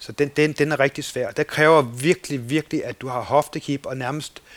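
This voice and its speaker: An unremarkable speaking voice, a man's at a fairly high pitch, moves at a moderate pace with fairly even intonation in a dry, close sound with no echo. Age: 50s. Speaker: kayak instructor and boatbuilder. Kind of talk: casual interview. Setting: at home in the countryside.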